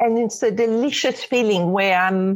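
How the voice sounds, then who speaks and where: A woman's fairly high voice with a French accent and lively intonation. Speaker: spiritual teacher. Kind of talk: interview. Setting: remote call.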